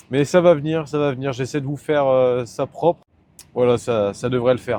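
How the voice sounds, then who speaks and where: With a northern French accent, a man speaks at a moderate pace and medium pitch, showing ordinary pitch variation. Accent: northern French (Nord) vowel shifts. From northern France, Nord-Pas-de-Calais. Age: 20s. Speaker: truck driver vlogger. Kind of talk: casual vlog talk. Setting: in a truck cab while driving. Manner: casual, hesitant with fillers.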